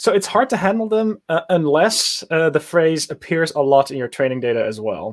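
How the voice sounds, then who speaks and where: At a moderate pace and with hardly any pauses, a man with a Dutch accent talks at a fairly high pitch, his voice making very wide pitch swings. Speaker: machine learning engineer. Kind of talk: casual interview on a livestream. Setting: live video stream.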